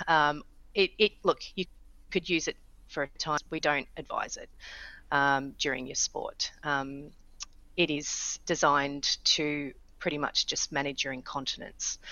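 A woman with an Australian accent speaks at a fairly slow pace in a very deep, low voice with fairly even intonation. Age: 40s. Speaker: startup founder. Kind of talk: interview.

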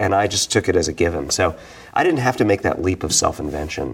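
With an American accent and vocal fry, the voice moves at a fairly quick pace with ordinary pitch variation. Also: man. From New York City (Brooklyn). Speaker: novelist. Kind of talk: interview. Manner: halting, frequent repetitions.

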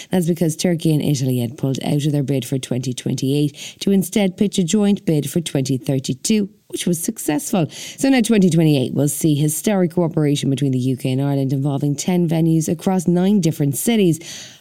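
A woman with a very deep, low pitch and a dark, mellow tone talks at a moderate pace with hardly any pauses. Her loudness stays very even while her intonation is lively. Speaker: podcast news presenter. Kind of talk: newsreading. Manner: crisp, steady, formal delivery with a brisk headline pace and light wry touches.

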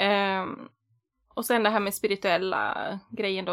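On a very clean recording with a silent background, a woman talks at a moderate pace in a bright, sharp tone and a medium pitch. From Västerås, Sweden. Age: 30s. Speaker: podcast host. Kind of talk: casual chat.

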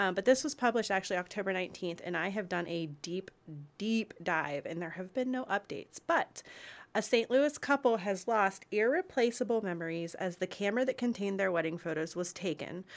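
A woman talks at a fairly quick pace with a medium pitch and lively intonation, in an unremarkable speaking voice. The recording is very clean with a silent background. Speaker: wedding podcast host. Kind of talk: casual chat.

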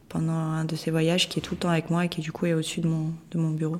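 The speech is fairly quick. Its intonation is monotone and flat. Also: woman. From Moscow, Russia. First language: Russian (speaking French). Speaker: photographer and artist. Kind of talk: interview. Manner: halting, hesitant.

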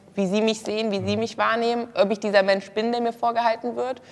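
A woman's fairly high, flat, monotone voice at a very fast pace. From Germany, Kassel. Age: 20s. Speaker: former reality TV model contestant. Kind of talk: casual interview talk.

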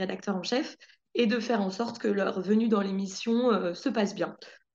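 A woman with a normal speaking voice, fairly high in pitch, with ordinary pitch variation at a moderate pace. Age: 20s. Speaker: TV journalist. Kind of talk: casual chat.

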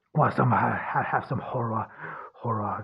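Pitched fairly low, a man speaks at a moderate pace with ordinary pitch variation. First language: German. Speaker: podcast host. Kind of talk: philosophical monologue. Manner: halting, many fillers.

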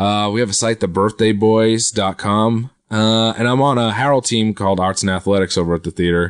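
Using a plain, everyday voice, a man speaks at a moderate pace with fairly low pitch, very even loudness, fairly even intonation and hardly any pauses, in a dry, close recording with no echo and a quiet background. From Quincy, Massachusetts (Boston area). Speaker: comedian. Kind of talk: casual chat.

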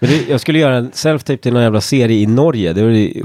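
A man with a dark, mellow tone speaks at a medium pitch, his pitch varying in an ordinary way. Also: dry, close sound with no echo. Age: 40s. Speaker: actor. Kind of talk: casual chat.

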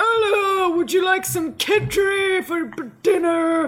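A put-on character voice with extremely high pitch moves along at a fairly slow pace. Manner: mimicked, exaggerated.

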